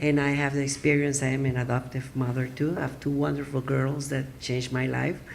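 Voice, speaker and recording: A woman with a Spanish accent speaks in a very deep, low pitch. Her intonation is monotone and flat, and there is audible room echo. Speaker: adoption attorney. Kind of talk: conference presentation. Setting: symposium audience. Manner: halting, with many fillers.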